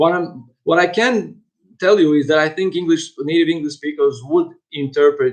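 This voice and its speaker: With a non-native accent, a man speaks at a moderate pace. His pitch varies in an ordinary way. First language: not English. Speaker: university lecturer. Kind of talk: lecture. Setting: online lecture. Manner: halting, many fillers and repetitions.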